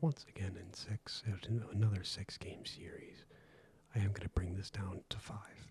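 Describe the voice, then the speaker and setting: Soft-spoken delivery at a fairly slow pace. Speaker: ASMR creator. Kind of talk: ASMR sports commentary.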